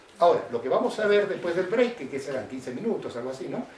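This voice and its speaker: The man's voice has very wide pitch swings. Noticeable background noise and audible room echo fill the recording. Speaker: professor. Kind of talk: lecture. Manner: fast.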